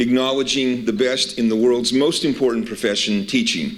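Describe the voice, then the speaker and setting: A man with a medium-pitched voice talks, and audible echo from the room is heard. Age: 60s. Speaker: university administrator. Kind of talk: welcome speech.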